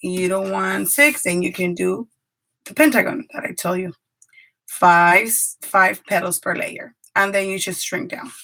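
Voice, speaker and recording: With a Spanish accent, a woman speaks at a medium pitch and a fairly slow pace with lively intonation. Her delivery has long, frequent pauses and big swings in loudness. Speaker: paper craft YouTuber and preschool teacher. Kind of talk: live craft tutorial. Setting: live stream from home craft room.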